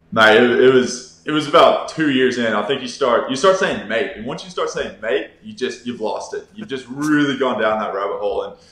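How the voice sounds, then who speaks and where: A man talks at a fairly quick clip with hardly any pauses, his loudness swinging widely. Noticeable background noise and audible room echo fill the recording. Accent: American. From Texas. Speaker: professional Australian football player. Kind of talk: casual interview chat. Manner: casual, filler-heavy.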